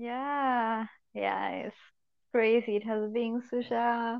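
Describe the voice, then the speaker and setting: Speaking at a very slow pace, a woman with a Spanish accent uses a fairly high pitch. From Colombia. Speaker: spiritual course participant. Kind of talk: casual chat.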